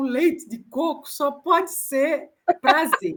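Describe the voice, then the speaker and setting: A woman with a northeastern Brazilian accent speaks at a high pitch. Her pace is very slow, and her pitch varies in an ordinary way. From Northeast Brazil. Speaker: author. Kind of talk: interview.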